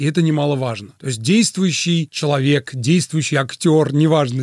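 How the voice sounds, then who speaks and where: Speaking in a normal speaking voice, a man with fairly high pitch and ordinary pitch variation keeps a moderate pace, the sound dry and close with no echo. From Azerbaijan (Baku). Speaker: radio host and musician. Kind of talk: interview. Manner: formal, literary phrasing.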